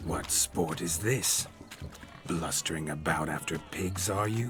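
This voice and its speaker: A man's put-on character voice, very deep and low in pitch, at a fairly slow pace against clear background noise. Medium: video game. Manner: old-fashioned, gentlemanly speech.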